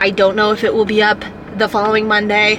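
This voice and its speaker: A woman speaks with a New York accent at a medium pitch. There is noticeable background noise and audible room echo. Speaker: powerlifter vlogger. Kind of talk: casual vlog talk to camera. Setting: gym.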